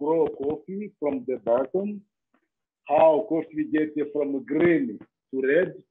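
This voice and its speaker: A man with a Rwandan accent speaks very slowly, his voice fairly high-pitched and his pitch varying in an ordinary way. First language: Kinyarwanda. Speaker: safari tour operator. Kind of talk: interview. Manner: halting.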